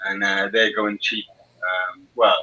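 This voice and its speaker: A man with a South Welsh accent. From Wales, Bridgend. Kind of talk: casual chat.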